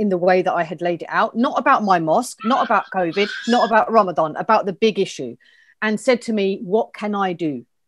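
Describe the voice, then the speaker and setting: A woman with a southern English accent, against a quiet background. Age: 50s. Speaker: community organiser; interview guest. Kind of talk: interview. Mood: earnest, upset, determined. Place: home room. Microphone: earbuds.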